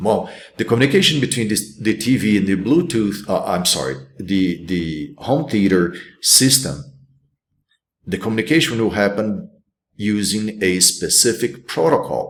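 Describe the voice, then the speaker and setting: A man with a Brazilian accent speaks at a moderate pace in a fairly low pitch, his intonation lively, with audible room echo. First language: Portuguese. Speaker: college instructor. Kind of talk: recorded lecture. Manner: halting, many fillers and restarts.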